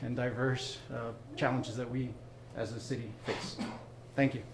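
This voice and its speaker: A medium-pitched male voice amid noticeable background noise and audible room echo. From Venezuela. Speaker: city council candidate. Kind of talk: political debate. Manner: hesitant with many fillers.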